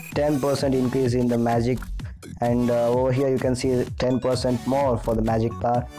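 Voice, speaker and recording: A speaker with a non-native accent talks at a fairly quick pace over music in the background. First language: not English. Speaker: mobile game guide creator. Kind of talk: gaming tutorial voice-over.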